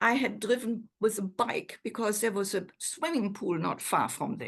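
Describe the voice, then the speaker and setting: A woman with a fairly high pitch and a somewhat breathy sound. She talks at a moderate pace. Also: lively intonation. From Germany. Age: 80s+. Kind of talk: interview answer.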